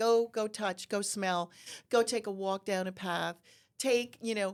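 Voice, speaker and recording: Fairly slow with fairly even intonation, a woman speaks at a medium pitch in an unremarkable speaking voice, captured in a very clean recording with a silent background. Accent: American. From New Jersey (Sussex County). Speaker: horticultural therapy business owner. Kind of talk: podcast interview.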